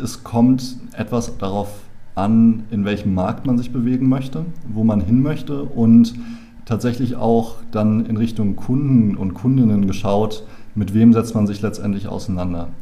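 Audible room echo surrounds a man's medium-pitched voice. He speaks at a fairly slow pace. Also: ordinary pitch variation. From Berlin, Germany. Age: 20s. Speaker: founder and business angel club member. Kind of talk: casual interview chat. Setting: in a room face to face.

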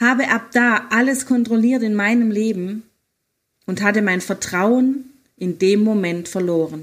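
A fairly slow pace with ordinary pitch variation. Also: woman, fairly high pitch for a woman. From Germany, Hohenlohe (Baden-Württemberg). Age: 50s. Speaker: life coach and podcaster. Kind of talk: personal testimony, partly read aloud. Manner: read-aloud sounding.

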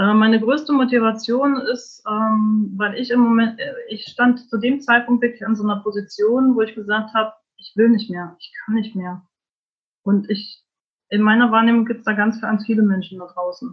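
A woman speaks at a moderate pace with a fairly high pitch and fairly even intonation. Her voice is somewhat breathy, and its loudness swings widely. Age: 40s. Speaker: life coach. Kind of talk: interview. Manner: hesitant, many fillers.

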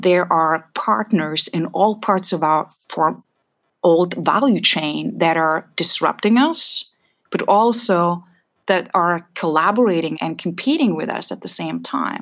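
A woman speaks at a fairly slow pace with vocal fry. Her pitch is fairly low, with ordinary pitch variation. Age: young. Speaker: analytics and AI executive. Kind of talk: interview conversation.

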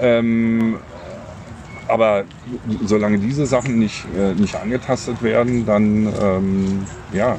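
A man speaks at a very slow pace and fairly low pitch, with long, frequent pauses. His intonation is fairly even, his loudness very even, and noticeable background noise runs behind him. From Berlin. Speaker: podcast co-host. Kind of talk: casual chat. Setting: outdoors in a park.

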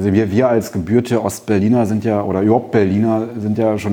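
Over noticeable background noise, a man speaks at a very fast pace with a fairly low pitch. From East Berlin, Germany. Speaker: memorial foundation director, historian. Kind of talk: panel discussion. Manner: hesitant, many fillers.

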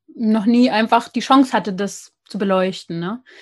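Against a quiet background, a woman speaks at a moderate pace with a fairly high pitch, a somewhat breathy voice and fairly even intonation. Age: 20s. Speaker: podcast host on skin health. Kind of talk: interview. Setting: internet call.

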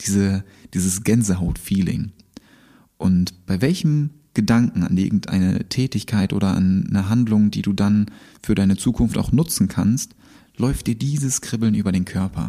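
The man's tone is dark and mellow. He talks at a moderate pace. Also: fairly low pitch for a man, ordinary pitch variation. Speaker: podcast host. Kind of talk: motivational monologue with guided exercises. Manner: animated. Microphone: new microphone.

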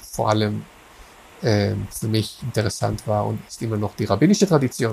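Speaking with an Israeli accent, a man uses a medium pitch, a somewhat breathy voice, ordinary pitch variation and a moderate pace. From Israel, Haifa. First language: Hebrew (speaking German). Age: 40s. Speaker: philosopher of religion. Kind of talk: interview. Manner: halting, many fillers and repetitions.

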